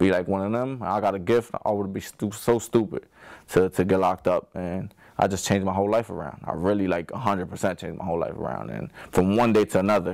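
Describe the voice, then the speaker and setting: On a very clean recording with a silent background, a man with a fairly low pitch speaks very fast, with ordinary pitch variation. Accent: New Jersey. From New Jersey, Passaic. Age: 20s. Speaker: professional boxer. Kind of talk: interview testimony.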